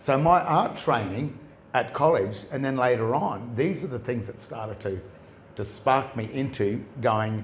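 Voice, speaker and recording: In a room with audible echo, a man talks at a medium pitch with ordinary pitch variation. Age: 60s. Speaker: common law researcher, presenter. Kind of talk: live presentation to an audience. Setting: stage with audience. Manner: halting, many restarts.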